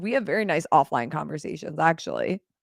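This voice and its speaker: A raspy, put-on character voice at a middle pitch, delivered at a very fast pace. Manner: polite, refined.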